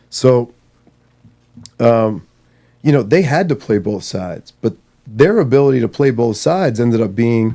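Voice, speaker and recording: This man has a medium pitch and a dark, mellow tone, with an American accent. His intonation is lively, his pace moderate, and his pauses long and frequent. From Maryland, US. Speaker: marine veteran. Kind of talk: podcast interview. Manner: animated.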